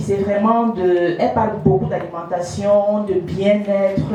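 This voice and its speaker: A woman speaks at a very slow pace amid noticeable background noise and audible room echo. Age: 50s. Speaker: life coach and conference speaker. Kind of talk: conference talk. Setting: conference room with live audience, speaking without mic.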